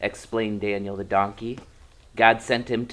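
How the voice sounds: Someone reads aloud in a natural voice, keeping the intonation fairly even.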